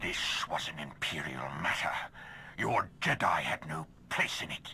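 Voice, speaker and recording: Putting on a character voice, a man speaks at a moderate pace with a very deep, low pitch. Background noise is clearly audible. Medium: video game. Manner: cold, authoritative.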